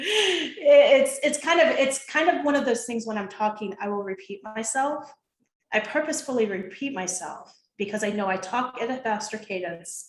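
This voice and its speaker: An ordinary speaking voice moves at a moderate pace with lively intonation. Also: woman, fairly high pitch for a woman. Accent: General American. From US Midwest, Ohio. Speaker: behavioral consultant and coach. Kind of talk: interview with presentation.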